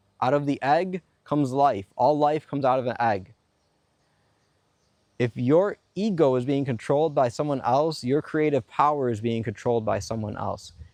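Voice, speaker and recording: A man with a normal speaking voice, medium pitch, ordinary pitch variation and a moderate pace against a quiet background. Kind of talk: spiritual self-help monologue on manifestation and ego. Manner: earnest, explanatory, persuasive.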